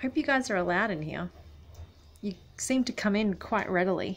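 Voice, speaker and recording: With an Australian accent, a woman talks at a moderate pace in a medium pitch, her intonation lively and touched with vocal fry. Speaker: travel vlogger. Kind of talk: casual vlog. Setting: holiday rental room. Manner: quiet.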